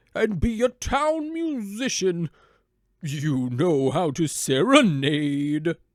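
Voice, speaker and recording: A man puts on a character voice at a high pitch for a man, speaking very slowly in a very clean recording with a silent background. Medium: read story. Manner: hearty, cheerful.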